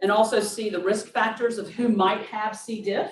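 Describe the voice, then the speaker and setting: A woman with a Southern US accent speaks at a moderate pace in a fairly high, somewhat breathy voice, with audible room echo. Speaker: nurse practitioner. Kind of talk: product demo.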